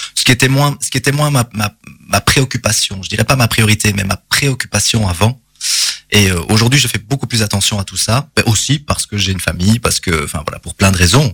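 Recorded dry and close with no echo, a man speaks at a fairly quick pace in a fairly low pitch with ordinary pitch variation. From Belgium, Charleroi area. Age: 30s. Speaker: drama teacher and actor. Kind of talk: interview. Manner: hesitant with many fillers.

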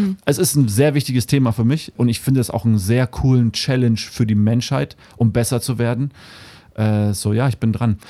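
This man's voice has a dark, mellow tone and a medium pitch, with ordinary pitch variation. He keeps a moderate pace and very even loudness. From Namibia. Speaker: musician. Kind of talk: interview. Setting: studio.

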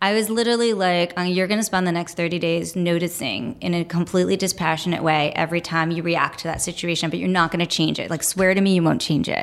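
A woman with an American accent and a fairly low voice, talking very fast with hardly any pauses over noticeable background noise. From New York City, Brooklyn. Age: 40s. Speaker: advertising creative director. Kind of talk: interview. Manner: animated.

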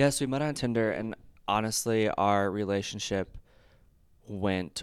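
In a very clean recording with a silent background, a man with an American accent speaks at a fairly slow pace. He has a normal speaking voice, fairly low in pitch, with ordinary pitch variation. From Michigan, Detroit area. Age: 20s. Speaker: former broadcast journalism student. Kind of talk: casual chat. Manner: laughs a lot.

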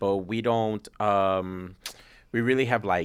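A man's fairly low voice, an ordinary speaking voice, with fairly even intonation. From New York City, Puerto Rican family. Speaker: film festival founder. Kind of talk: interview.

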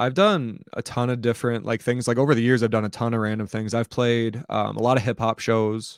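A normal speaking voice from a man at medium pitch, fairly quick pace, fairly even intonation and hardly any pauses, on a very clean recording with a silent background. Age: 20s. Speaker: hip hop musician and content creator. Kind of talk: casual interview chat.

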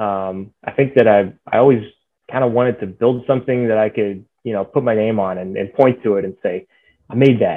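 Delivered at a moderate pace with fairly even intonation, a plain, everyday voice speaks with an American accent. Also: man, medium pitch for a man. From Texas (Dallas area). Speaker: aerospace engineer. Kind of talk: interview.

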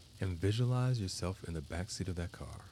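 This man has a very deep, low voice with a dark, mellow, soothing tone and ordinary pitch variation. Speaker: guided meditation guide and therapist. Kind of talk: guided meditation, calm scripted visualization with counting. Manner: slow, soft, soothing, measured with long pauses.

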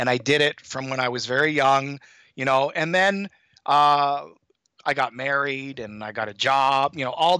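A man's bright, sharp voice at a fairly high pitch and moderate pace, in an Ontario accent, on a very clean recording with a silent background and a dry, close sound with no echo. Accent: Canadian (Ontario) English. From Canada, Toronto. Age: 50s. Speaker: high school math teacher, endurance athlete. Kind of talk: interview, casual chat.

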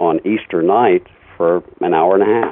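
Noticeable background noise surrounds a man with a very deep, low voice. He speaks with an American accent and fairly even intonation. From US Midwest (Indiana). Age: 60s. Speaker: radio DJ. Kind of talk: interview. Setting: phone call.

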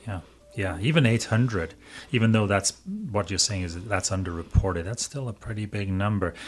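Speaking at a moderate pace, a man with a fairly low, somewhat breathy voice shows ordinary pitch variation and big swings in loudness. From Wales. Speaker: school superintendent and podcast host. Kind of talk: podcast interview.

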